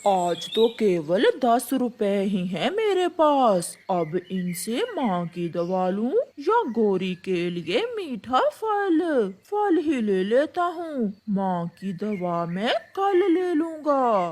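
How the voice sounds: Doing a cartoonish character voice, a female-sounding voice talks very slowly at a fairly high pitch, with very wide pitch swings.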